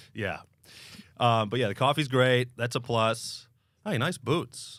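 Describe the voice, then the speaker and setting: A man with an American accent has an ordinary speaking voice, a medium pitch and ordinary pitch variation, talking at a fairly slow pace. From United States. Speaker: podcast host. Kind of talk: casual chat.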